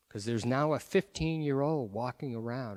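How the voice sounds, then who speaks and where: A man's unremarkable speaking voice at medium pitch with ordinary pitch variation, on a very clean recording with a silent background. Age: 60s. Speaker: pro-life speaker. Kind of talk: public talk.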